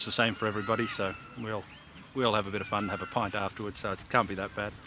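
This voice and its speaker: A man's voice over noticeable background noise. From Australia. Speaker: model yacht racer, world champion. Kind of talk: interview.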